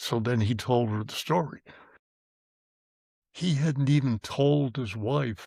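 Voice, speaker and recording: A man speaks at medium pitch with a Boston accent, using ordinary pitch variation at a fairly slow pace on a very clean recording with a silent background. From South Boston. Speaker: grandfather. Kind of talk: interview answer.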